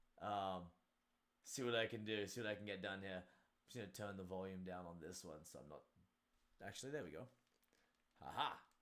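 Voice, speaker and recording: A man with an Australian accent, fairly low-pitched, bright and sharp in tone, with lively intonation at a fairly quick pace. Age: 30s. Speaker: martial arts instructor and streamer. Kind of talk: casual live stream chat.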